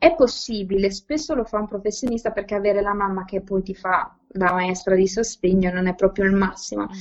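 Hardly pausing at all, a woman of medium pitch speaks at a fairly quick pace with ordinary pitch variation. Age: 20s. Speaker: educator, learning disorders specialist. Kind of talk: podcast interview. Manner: halting, many repetitions and fillers.

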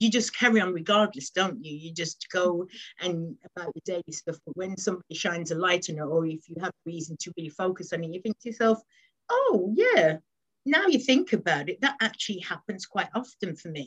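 A woman talks at a fairly quick pace in a somewhat breathy voice of medium pitch, with ordinary pitch variation, big swings in loudness, and a dry, close sound with no echo. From West Midlands, England. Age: 40s. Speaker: office manager. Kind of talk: casual interview. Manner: hesitant, many fillers.

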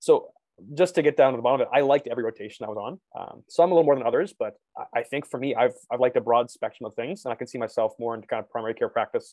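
A man speaks with a Canadian accent. His pace is very fast. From Canada, London, Ontario. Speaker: medical student. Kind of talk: casual chat. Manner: halting.

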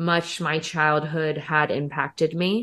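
Speaking at a very slow pace in a monotone, flat intonation, a woman with an American accent uses a fairly low pitch. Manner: casual, profane, joking.

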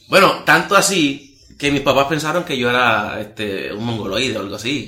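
Noticeable background noise and audible room echo accompany this male speaker. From Puerto Rico, Las Marías (rural west). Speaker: evangelist preacher. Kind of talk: testimony interview.

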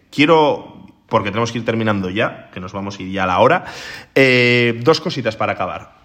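A man with a normal speaking voice, a medium pitch and lively intonation talks at a fairly quick pace. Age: 30s. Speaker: podcast host. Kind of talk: casual chat.

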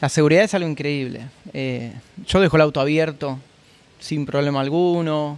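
A man with a Buenos Aires accent speaks at a moderate pace, fairly high in pitch and fairly even in intonation, with long, frequent pauses. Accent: Rioplatense Spanish (Buenos Aires). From Argentina, Buenos Aires. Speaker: chef. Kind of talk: interview. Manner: hesitant, repeats words.

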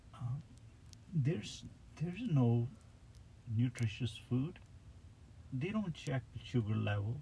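This man has a medium pitch and a dark, mellow, somewhat breathy tone, with lively intonation. He talks at a fairly slow pace, leaving long, frequent pauses. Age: 40s. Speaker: driver. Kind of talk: casual chat. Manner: halting.

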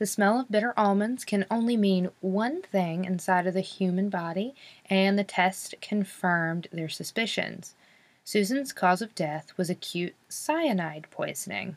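The speaker is a woman with an American accent and a medium pitch. Her pace is fairly slow, and her pitch varies in an ordinary way. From North Carolina. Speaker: true crime podcast host. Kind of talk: casual storytelling narration. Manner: animated.

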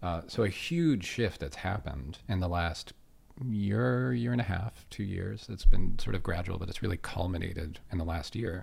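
With an American accent, a man speaks at a moderate pace in a very deep, low voice, his intonation lively and marked by vocal fry. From Pittsburgh, Pennsylvania, US. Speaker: UX lead. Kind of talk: casual interview chat.

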